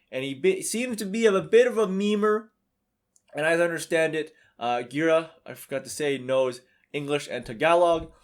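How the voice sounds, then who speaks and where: A man's fairly high voice at a moderate pace, with lively intonation and big swings in loudness, on a very clean recording with a silent background. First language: not English. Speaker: YouTuber. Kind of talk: casual commentary video. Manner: hesitant, many fillers.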